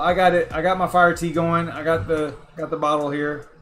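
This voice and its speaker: Music plays in the background. A man with a fairly high pitch speaks at a moderate pace. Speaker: crypto mining streamer. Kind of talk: casual livestream chat. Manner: halting, repetitive.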